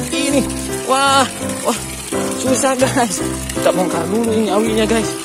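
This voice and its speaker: Fairly quick speech with a dry sound, no echo, and clear music in the background. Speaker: fishing vlogger. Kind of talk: casual vlog commentary. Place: waterside. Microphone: phone near.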